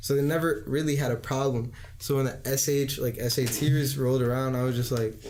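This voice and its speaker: This man speaks with an American accent at a fairly quick pace, his medium pitch held in a monotone, flat intonation at very even loudness. Audible room echo and noticeable background noise are present. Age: 20s. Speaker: student and aspiring rapper. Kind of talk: casual chat.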